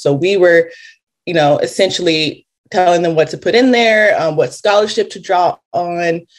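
With an American accent, a woman in an ordinary speaking voice talks at a moderate pace and a fairly low pitch. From Los Angeles, California. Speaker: reparations task force member. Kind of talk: interview.

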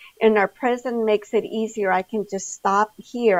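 This woman has a normal speaking voice at a medium pitch with ordinary pitch variation and a moderate pace. The sound is dry and close with no echo, over a quiet background. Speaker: hospital community health director. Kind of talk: interview.

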